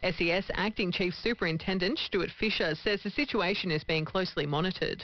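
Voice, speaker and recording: A woman talks in a normal speaking voice at a moderate pace. Her pitch is medium, with ordinary pitch variation. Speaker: news presenter. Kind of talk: radio news bulletin.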